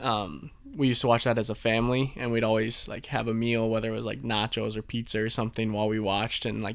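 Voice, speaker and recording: Very fast and monotone, a man talks with a medium pitch and flat intonation. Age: 20s. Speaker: structural engineer, hosts' brother. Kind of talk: casual chat.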